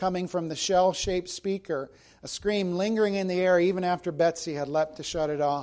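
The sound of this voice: An unforced reading voice carries the whole clip.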